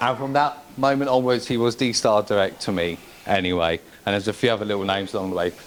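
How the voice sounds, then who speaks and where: Very fast speech in an English accent, with ordinary pitch variation. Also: man, fairly low pitch for a man. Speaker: best man. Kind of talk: wedding speech. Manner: halting.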